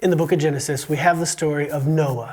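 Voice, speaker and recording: There is noticeable background noise behind the speaker. A man talks with an American accent at a fairly high pitch. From USA. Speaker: podcast host and teacher. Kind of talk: casual educational interview. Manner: animated.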